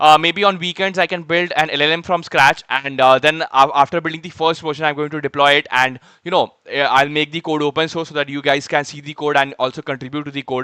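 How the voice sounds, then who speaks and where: Bright and sharp in tone, a man with an Indian accent speaks at a very fast pace with hardly any pauses, his fairly high pitch held to fairly even intonation in a dry, close sound with no echo. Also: very clean recording, silent background. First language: Hindi. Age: 20s. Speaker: software developer streamer. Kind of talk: live coding stream chat. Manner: hesitant, many fillers.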